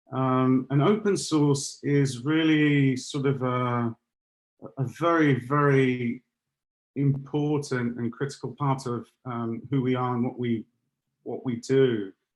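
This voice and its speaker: A man with an English accent speaks at a very slow pace and a medium pitch. His intonation stays fairly even. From London, England. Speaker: security solutions architect. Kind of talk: webinar presentation. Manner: halting, many fillers.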